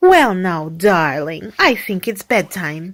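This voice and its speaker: At a fairly slow pace, a woman does a put-on character voice at medium pitch, in a very clean recording with a silent background. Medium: read story. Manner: soft, soothing.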